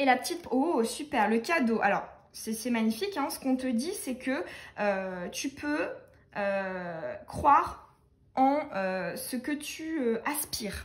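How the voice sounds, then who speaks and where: The woman speaks at a very slow pace. Her high voice moves in very wide pitch swings. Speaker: tarot card reader. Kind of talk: tarot reading for viewers. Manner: many hesitations.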